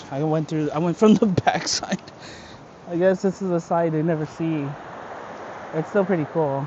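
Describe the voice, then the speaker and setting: The speech moves at a moderate pace with long, frequent pauses, over noticeable background noise. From California. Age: adult. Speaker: travel vlogger. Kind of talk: casual vlog narration. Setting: outdoors on a trail.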